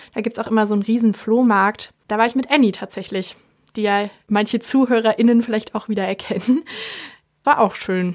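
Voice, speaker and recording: Using an ordinary speaking voice, a woman keeps a moderate pace at a fairly high pitch. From eastern Germany, Leipzig. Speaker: student radio host. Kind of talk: casual chat; street interview. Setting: studio.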